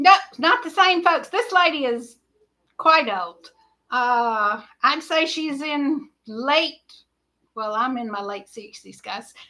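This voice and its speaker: A woman with an American accent speaks very slowly in a raised, projected voice, her high pitch leaping through very wide swings, her bright, sharp tone rising and falling sharply in loudness around long, frequent pauses. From Georgia, US South. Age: 60s. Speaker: livestream host. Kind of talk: casual chat. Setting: livestream.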